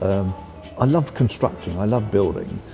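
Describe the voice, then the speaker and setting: Music plays in the background as a man speaks. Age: 80s+. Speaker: industrial designer. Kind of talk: interview answer.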